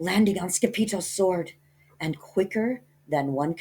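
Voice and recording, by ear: This voice is reading aloud in a natural voice. It carries through the text.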